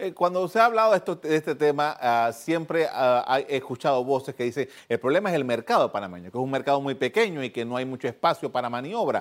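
A man talks very fast at a fairly high pitch, with hardly any pauses. His intonation is lively, and the recording is very clean, with a silent background. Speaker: TV news host, journalist. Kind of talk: TV interview.

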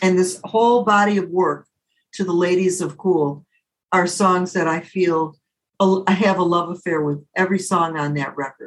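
The speaker has a Midwestern American accent and fairly even intonation. The pace is moderate. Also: woman, medium pitch for a woman. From Detroit area, Michigan. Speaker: jazz singer. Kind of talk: interview.

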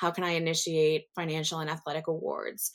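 This woman has a normal speaking voice, fairly low in pitch, at a fairly quick pace. The recording is very clean, with a silent background. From US South. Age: 40s. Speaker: nurse and nursing professor. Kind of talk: interview.

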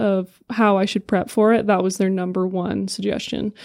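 A woman talks in a flat monotone with an American accent. Her pace is moderate. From California, San Diego. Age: 20s. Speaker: firefighter recruit. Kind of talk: casual interview.

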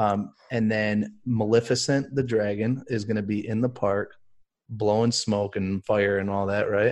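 In an unremarkable speaking voice, a man talks at a fairly slow pace, fairly low in pitch, with fairly even intonation. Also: quiet background. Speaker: co-host. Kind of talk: casual chat.

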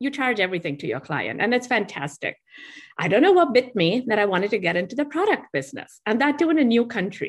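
In an Indian accent, a woman talks at a very fast pace with a fairly high pitch, very wide pitch swings, and vocal fry, over a quiet background. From India (Mumbai). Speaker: tea company founder. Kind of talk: interview. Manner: animated.

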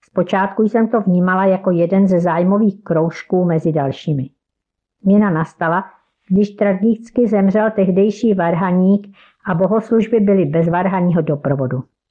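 A woman's ordinary speaking voice at a moderate pace, with very even loudness. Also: medium pitch for a woman, ordinary pitch variation. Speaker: church member and devotional author. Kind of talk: devotional reflection.

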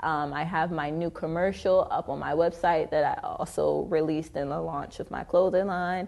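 A woman with an American accent has a plain, everyday voice, fairly low in pitch. She talks at a moderate pace with ordinary pitch variation against a quiet background. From Detroit, then Arizona from about 13. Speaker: social media influencer and model. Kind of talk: interview.

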